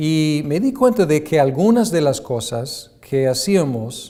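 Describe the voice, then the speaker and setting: A man's dark, mellow tone with an English accent and lively intonation, in audible room echo. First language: English (speaking Spanish). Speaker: seminary lecturer. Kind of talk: lecture. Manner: halting with many fillers.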